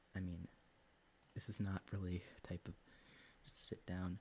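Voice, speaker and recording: A man is whispering. His pace is moderate. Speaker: science streamer. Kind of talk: casual livestream research session. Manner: mumbling to himself while reading.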